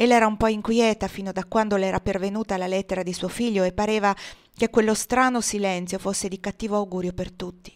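The clip is plain reading aloud. Fairly even intonation runs through it.

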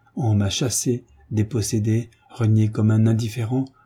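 Simply plain reading aloud.

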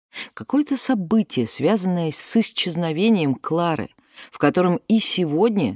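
Reading in an unforced voice

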